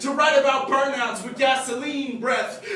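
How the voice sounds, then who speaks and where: A raised, projected voice with fairly even intonation, set against noticeable background noise. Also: man. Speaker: spoken word poet. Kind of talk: slam poetry performance.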